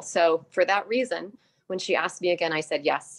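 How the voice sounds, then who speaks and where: This is an ordinary speaking voice, a woman with fairly low pitch. She talks at a moderate pace. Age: 60s. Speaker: dietitian and product distributor. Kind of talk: testimony. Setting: video call.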